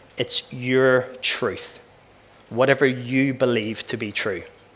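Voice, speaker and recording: Here a man speaks with an Irish accent in a bright, sharp tone. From Northern Ireland, West Belfast. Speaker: former professional footballer and keynote speaker. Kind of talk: keynote talk. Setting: conference stage with audience. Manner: fast-paced.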